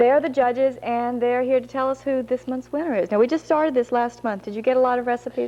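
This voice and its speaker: Over noticeable background noise, a woman with a Southern US accent speaks very fast in a high pitch, with fairly even intonation and hardly any pauses. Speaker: TV show host. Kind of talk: local TV cooking segment.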